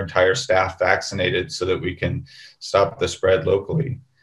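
A man's fairly low, somewhat breathy voice at a moderate pace, with ordinary pitch variation. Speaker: emergency physician. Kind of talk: webinar panel discussion. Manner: halting, many fillers.

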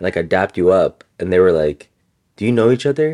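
With an ordinary speaking voice, a man talks at a fairly low pitch with lively intonation, the sound dry and close with no echo. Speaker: yoga teacher and podcast co-host. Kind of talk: casual chat.

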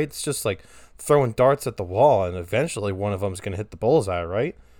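The recording is very clean, with a silent background. A man speaks loudly at a fairly quick pace, with very wide pitch swings. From Delaware. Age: 20s. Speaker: podcast host, college student. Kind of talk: casual solo monologue. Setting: bedroom recording. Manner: animated.

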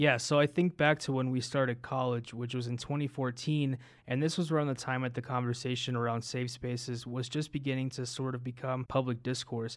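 At a fairly quick pace and with hardly any pauses, a man talks at a medium pitch. His intonation is monotone and flat, and the recording is very clean, with a silent background. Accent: American. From US, Denver. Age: 20s. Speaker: podcast co-host. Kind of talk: casual chat.

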